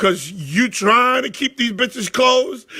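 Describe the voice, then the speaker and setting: At a moderate pace, a man speaks in a raised, projected voice with a bright, sharp tone. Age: 40s. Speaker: sports talk show host. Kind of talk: casual storytelling on a live show. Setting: live stream. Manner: animated.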